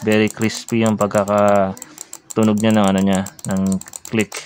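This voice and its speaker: Light background noise sits behind a man as he talks. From Philippines. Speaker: vlogger. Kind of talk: product unboxing and review. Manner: halting, many fillers. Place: home room. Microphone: phone near.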